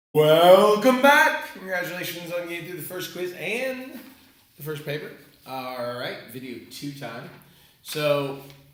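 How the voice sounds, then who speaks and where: An animated man with a high pitch speaks in a room with audible echo. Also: big swings in loudness. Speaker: math teacher. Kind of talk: tutorial. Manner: casual, animated.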